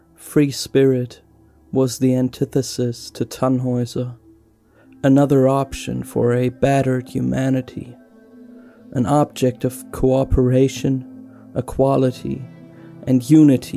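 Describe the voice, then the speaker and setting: Over music in the background, a man talks at a fairly slow pace with medium pitch and monotone, flat intonation. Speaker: tabletop RPG lore narrator. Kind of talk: lore narration video. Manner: low-energy, subdued.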